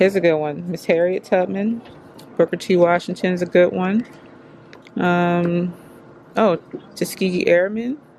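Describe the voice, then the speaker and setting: Against noticeable background noise, a woman talks at a moderate pace with a medium pitch. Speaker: vlogger and mother. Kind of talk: casual vlog. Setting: bookstore.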